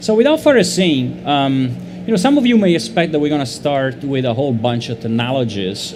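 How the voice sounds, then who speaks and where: A man with an Italian accent and a medium pitch, amid noticeable background noise and audible room echo. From Italy. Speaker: panel moderator, marketing lead. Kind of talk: panel discussion.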